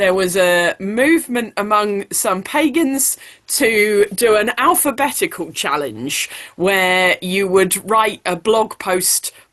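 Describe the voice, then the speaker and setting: Very slowly and with lively intonation, a woman speaks at a medium pitch in a British accent. The background is quiet. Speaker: blogger. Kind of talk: panel talk.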